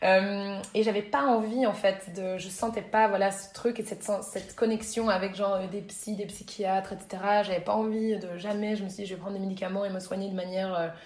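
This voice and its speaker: Woman's voice at medium pitch, monotone and flat in intonation, moderate in pace, over noticeable background noise. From Belgium, Brussels. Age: 30s. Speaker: yoga teacher and entrepreneur. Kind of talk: casual interview.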